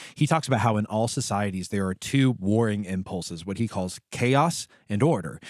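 A man with an American accent talks at a fairly quick pace in an unremarkable speaking voice with lively intonation. The recording is very clean with a silent background, and the sound is dry and close with no echo. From United States. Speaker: podcast co-host. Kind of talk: casual chat.

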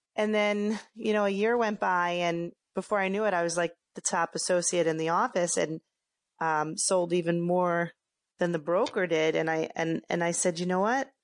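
With an American accent, a woman talks in a normal speaking voice, fairly low in pitch, at a moderate pace with ordinary pitch variation. Her loudness stays very even, and the background is quiet. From Philadelphia, US. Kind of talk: casual interview.

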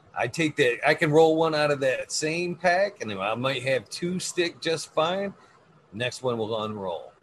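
A somewhat breathy man with a fairly high pitch and lively intonation. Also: fairly slow pace. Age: 40s. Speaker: cannabis podcast host. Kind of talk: casual chat. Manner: animated.

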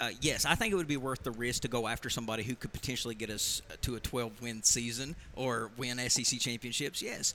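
This is an ordinary speaking voice from a man at a medium pitch. He goes at a moderate pace. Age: 30s. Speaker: local radio host. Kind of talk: casual chat. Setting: bar.

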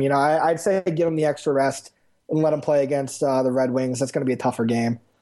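A man speaks with a fairly high pitch. It is a plain, everyday voice with ordinary pitch variation. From Westchester, New York. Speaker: hockey fan. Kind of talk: casual chat.

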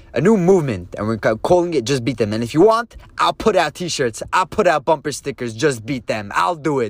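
A man with an American accent talks at a fairly quick pace with hardly any pauses, his fairly high voice animated and swinging very widely in pitch, the sound dry and close with no echo. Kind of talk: casual, satirical rant. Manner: animated, emphatic.

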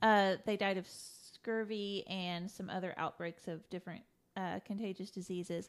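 In a very clean recording with a silent background, an ordinary speaking voice with an American accent moves at a fairly slow pace with fairly even intonation. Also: woman. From Indiana. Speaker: podcast co-host. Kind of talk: casual chat.

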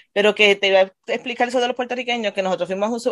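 A woman speaking at a very fast pace, her pitch varying in an ordinary way. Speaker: adult education teacher. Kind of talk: casual chat.

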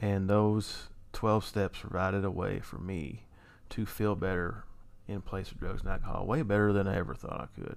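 In a room with audible echo, a man speaks at a fairly low pitch with fairly even intonation. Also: moderate pace. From Kentucky, Louisville. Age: 30s. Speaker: person in addiction recovery. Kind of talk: testimony.

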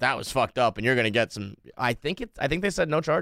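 A man speaks with an American accent. He talks very fast. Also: dry, close sound with no echo. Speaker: blogger and podcaster. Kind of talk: casual interview chat. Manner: animated, casual, profane.

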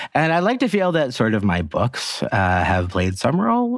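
Noticeable background noise fills the space behind a man's talking. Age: 40s. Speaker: author and journalist. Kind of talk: casual chat.

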